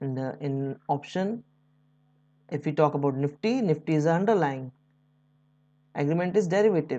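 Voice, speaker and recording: Against a quiet background, a woman with an Indian accent and a very deep, low pitch speaks at a moderate pace with lively intonation and long, frequent pauses. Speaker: stock market educator. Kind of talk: tutorial. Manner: unscripted, somewhat halting.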